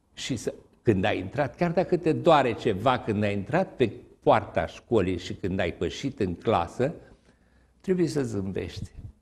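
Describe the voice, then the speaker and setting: A somewhat breathy man at a fairly slow pace, with very wide pitch swings. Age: 70s. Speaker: retired teacher and writer; retired teacher. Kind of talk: TV interview. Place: studio.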